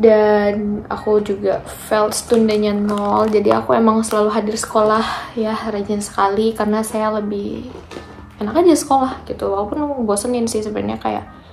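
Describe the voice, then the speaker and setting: A soft-spoken woman with a fairly high pitch talks amid noticeable background noise. Audible room echo can be heard. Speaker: vocational trainee vlogger. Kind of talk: casual vlog talk.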